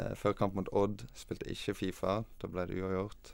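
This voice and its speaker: A fairly low-voiced man speaks in a monotone, flat way at a moderate speed. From western Norway, Os near Bergen. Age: 20s. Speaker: professional footballer. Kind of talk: interview. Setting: studio.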